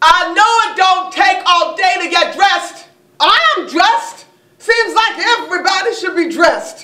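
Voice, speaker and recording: A woman's raised, projected voice with audible room echo over a quiet background. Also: ordinary pitch variation, moderate pace. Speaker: actor. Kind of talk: theatrical monologue. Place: stage. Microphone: camera far.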